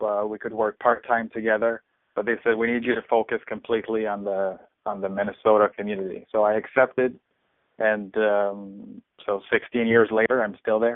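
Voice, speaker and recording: A man's voice at medium pitch and moderate pace. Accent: Quebec. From Quebec City, Canada. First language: French. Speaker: podcast host, media executive. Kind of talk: interview. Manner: halting with fillers.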